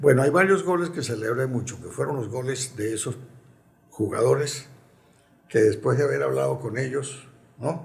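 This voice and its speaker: With vocal fry and medium pitch, a man speaks at a moderate pace with ordinary pitch variation and long, frequent pauses, his voice carrying audible room echo. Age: 80s+. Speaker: retired football club president and urologist. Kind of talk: interview. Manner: reflective.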